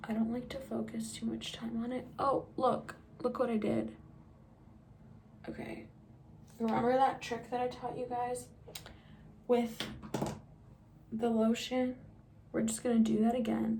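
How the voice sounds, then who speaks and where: A quiet woman's voice at a fairly slow pace with long, frequent pauses, noticeable background noise and audible room echo. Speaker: beauty vlogger. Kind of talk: makeup tutorial. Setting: at home. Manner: casual, chatty.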